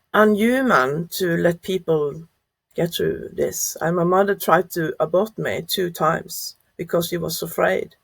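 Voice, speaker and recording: A woman speaks in a Norwegian accent. She keeps a fairly slow pace. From Norway. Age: 50s. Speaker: adoptee sharing life story. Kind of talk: interview testimony. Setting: podcast interview. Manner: halting, many fillers.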